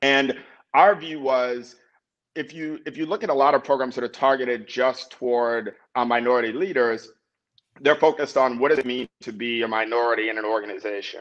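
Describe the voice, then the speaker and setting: A man talks with an American accent at a fairly quick pace. His pitch varies normally, and the background is quiet. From US South, New Orleans, Louisiana. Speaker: tech company founder and CEO. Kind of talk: interview. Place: home room. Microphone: video call.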